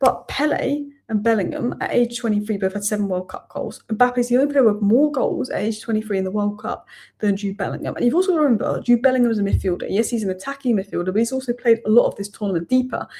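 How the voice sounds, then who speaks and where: Talking very fast, a woman has a dark, mellow tone that is somewhat breathy. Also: fairly high pitch for a woman, ordinary pitch variation. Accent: English. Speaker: football YouTuber. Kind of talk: post-match reaction video. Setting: home at night. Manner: quiet, subdued.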